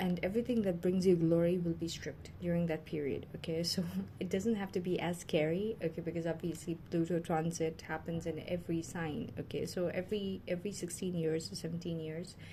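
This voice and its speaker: Somewhat breathy and fairly low in pitch, a woman talks at a fairly quick pace with hardly any pauses, her tone dark and mellow and her intonation fairly even. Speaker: tarot reader. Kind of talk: tarot reading monologue. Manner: fast; hesitant, many fillers.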